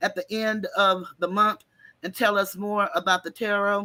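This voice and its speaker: On a very clean recording with a silent background, a woman's bright, sharp tone carries ordinary pitch variation. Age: 60s. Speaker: talk show host. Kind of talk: casual livestream chat. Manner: animated.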